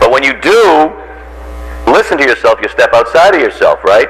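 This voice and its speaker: A man speaks with an American accent against noticeable background noise. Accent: Boston accent, trained down. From Boston area, Massachusetts. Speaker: radio talk show host and voiceover actor. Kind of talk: lecture. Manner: animated.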